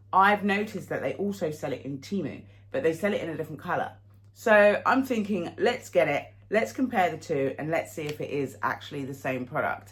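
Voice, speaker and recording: Somewhat breathy and fairly low for a woman, her voice swings very widely in pitch at a fairly quick pace. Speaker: fashion haul vlogger. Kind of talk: casual chat to camera. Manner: hesitant, with fillers.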